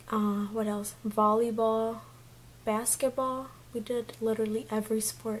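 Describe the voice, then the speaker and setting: This woman's voice sits fairly high in pitch. It comes across as somewhat breathy. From Mexico. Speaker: beauty vlogger. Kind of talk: casual vlog chat.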